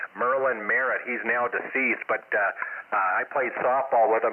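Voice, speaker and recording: A man speaks at a fairly quick pace in a medium pitch. His intonation is fairly even, and there is noticeable background noise. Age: 60s. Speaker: amateur radio operator. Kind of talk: casual chat. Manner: halting.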